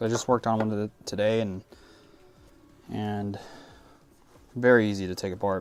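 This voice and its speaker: A man delivers his words at a fairly quick pace in a flat monotone, leaving long, frequent pauses. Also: fairly low pitch for a man. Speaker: airsoft technician streamer. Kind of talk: live stream Q&A.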